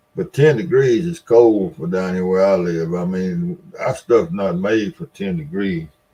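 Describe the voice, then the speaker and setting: A man with a Mississippi accent, fairly low in pitch, at a fairly slow pace. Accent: Southern US (Mississippi). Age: 70s. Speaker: live stream host. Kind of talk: casual chat. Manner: halting.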